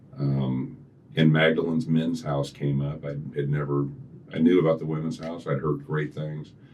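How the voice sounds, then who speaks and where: Noticeable background noise sits behind a man with a very deep, low pitch. His intonation is fairly even and his pace moderate. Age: 60s. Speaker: recovered alcoholic, recovery program coordinator. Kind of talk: interview, personal testimony.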